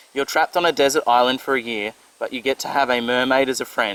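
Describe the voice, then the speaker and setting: A man with an Australian accent and ordinary pitch variation, against noticeable background noise. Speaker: motorcycle vlogger. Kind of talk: Q&A vlog, casual chat.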